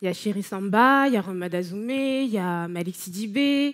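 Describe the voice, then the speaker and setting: With an unremarkable speaking voice, a woman talks at a medium pitch that varies in an ordinary way. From France, Paris. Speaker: speaker, arts writer and blogger. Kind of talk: conference talk.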